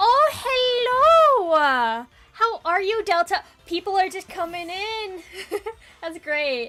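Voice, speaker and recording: A woman talks at a very slow pace in a raised, projected voice of extremely high pitch, with very wide pitch swings and big swings in loudness. Music plays in the background. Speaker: VTuber streamer. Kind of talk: casual live stream chat. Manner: hesitant, many fillers.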